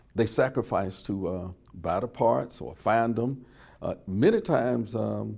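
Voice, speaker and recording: A man with an Alabama accent speaks at medium pitch with ordinary pitch variation. His tone is dark and mellow, touched with vocal fry. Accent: Southern US (Alabama). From US South, Birmingham, Alabama. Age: 70s. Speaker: oral history interviewee, civil rights witness. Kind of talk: oral history testimony.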